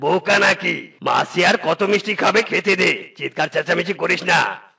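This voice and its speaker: A man does a cartoonish character voice, high in pitch, at a moderate pace. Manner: gruff, bossy.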